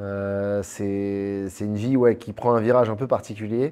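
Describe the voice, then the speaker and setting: A man at a fairly slow pace with fairly even intonation, music in the background. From Paris, France. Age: 30s. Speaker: entrepreneur. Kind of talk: interview.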